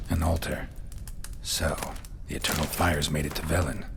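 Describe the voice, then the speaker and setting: A put-on character voice at a fairly quick pace over loud background noise. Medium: short film. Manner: terse, deadpan.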